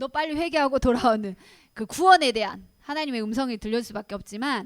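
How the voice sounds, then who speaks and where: Pitched high, a woman speaks with lively intonation in a very clean recording with a silent background and a dry, close sound with no echo. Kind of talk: lecture.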